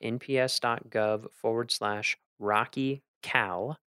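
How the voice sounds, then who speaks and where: Recorded with a dry, close sound and no echo, a man with an American accent speaks at a medium pitch. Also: very clean recording, silent background. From US South. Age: 30s. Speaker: park ranger and podcast host. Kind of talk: casual chat. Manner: casual.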